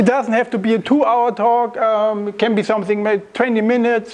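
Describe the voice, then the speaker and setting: A man talks in a flat monotone at a high pitch for a man. Noticeable background noise runs behind him. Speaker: software developer giving a tech talk. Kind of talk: lecture.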